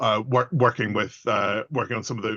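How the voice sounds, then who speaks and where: A man with a slight Belfast accent, medium pitch, a bright, sharp tone and a fairly quick pace, in a dry, close sound with no echo over a quiet background. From Northern Ireland, Belfast. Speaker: public engagement consultant. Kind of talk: self-introduction in webinar. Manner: halting, repetitive.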